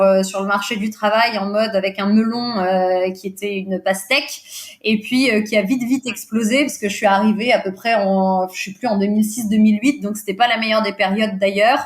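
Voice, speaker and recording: At a moderate pace, a woman talks in a fairly high pitch with fairly even intonation. She leaves hardly any pauses. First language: Portuguese (speaking French). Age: 40s. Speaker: recruiter and business owner. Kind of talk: podcast interview. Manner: hesitant, many fillers.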